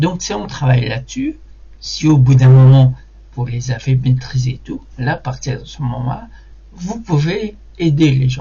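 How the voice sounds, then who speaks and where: A man's somewhat breathy voice at a medium pitch, with ordinary pitch variation and a fairly slow pace. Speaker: hypnotic conversation coach. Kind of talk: motivational talk to camera. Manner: halting, many hesitations and repetitions.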